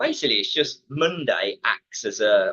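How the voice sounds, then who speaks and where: A man with an English Midlands accent. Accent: Midland English. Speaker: fitness company manager. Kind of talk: webinar talk. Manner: many fillers and repetitions.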